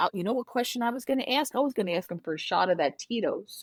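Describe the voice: Talking fast, a woman at a medium pitch makes big pitch swings.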